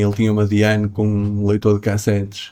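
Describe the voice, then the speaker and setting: This is a man's voice. It sits at a fairly low pitch. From northern Portugal, Matosinhos near Porto. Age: 60s. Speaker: jazz pianist. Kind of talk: interview. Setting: jazz club. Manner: hesitant, many repetitions and fillers.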